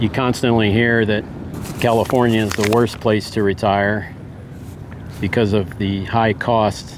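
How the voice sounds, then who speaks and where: Noticeable background noise sits under a man's medium-pitched, flat, monotone delivery in an American accent. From US Midwest. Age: 60s. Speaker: retirement vlogger. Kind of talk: personal vlog monologue. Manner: casual, hesitant with repetitions.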